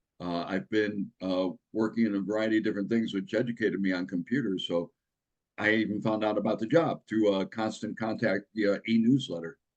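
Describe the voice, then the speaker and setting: Speaking at a fairly quick pace, a man with a fairly low pitch keeps his intonation fairly even. The background is quiet. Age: 60s. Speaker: magazine distribution auditor. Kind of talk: interview. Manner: halting, many fillers.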